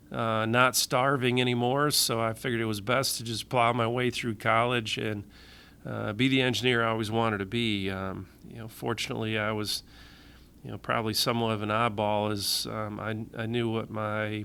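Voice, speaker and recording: A man with a Michigan accent talks at a moderate pace and a medium pitch. His tone is bright and sharp, his intonation monotone and flat. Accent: Midwestern US (Michigan). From Michigan, with teen years in Tennessee and Florida. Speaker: public safety agency director, engineer. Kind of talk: interview. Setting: podcast. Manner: hesitant, many fillers.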